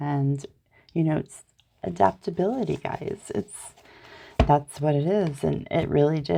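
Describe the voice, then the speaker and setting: Very deep and low, a woman's voice carries a dark, mellow tone and an American accent at a fairly slow pace. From United States. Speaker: tarot reader. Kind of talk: casual tarot reading vlog. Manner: animated.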